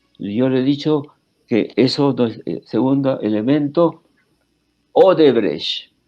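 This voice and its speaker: Music plays in the background as a man talks at a very slow pace. His medium pitch shows ordinary variation. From Peru. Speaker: historian. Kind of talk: interview. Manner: halting, many fillers and restarts.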